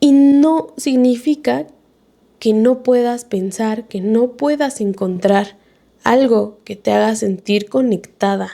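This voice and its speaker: The speaker has a Mexico City accent and a dark, mellow tone. The pace is very slow, with ordinary pitch variation. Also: woman, fairly high pitch for a woman. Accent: Mexico City sing-song intonation. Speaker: podcast host. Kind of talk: reflective monologue. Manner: casual, conversational.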